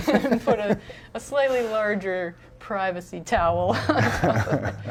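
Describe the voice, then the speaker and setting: The speech is mumbled at a moderate pace. Noticeable background noise runs underneath. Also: woman. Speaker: game concept artist. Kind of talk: casual chat. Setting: live stream. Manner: mumbling.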